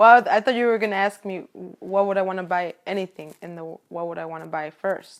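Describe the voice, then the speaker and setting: A woman with a Spanish accent speaks at a fairly quick pace, her pitch in the medium range. Her pitch varies in an ordinary way while her loudness swings widely. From Chicago area, Illinois, of Mexican parents. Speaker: interviewee. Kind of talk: casual interview chat.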